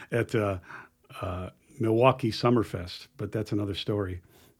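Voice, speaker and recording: A man talks in a normal speaking voice at medium pitch, with ordinary pitch variation and a moderate pace. The recording is very clean, with a silent background. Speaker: guitarist. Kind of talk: casual chat.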